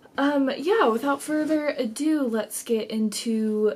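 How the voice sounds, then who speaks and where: Background noise is noticeable. A woman speaks with ordinary pitch variation. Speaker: knitting podcaster. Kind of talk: casual vlog talk.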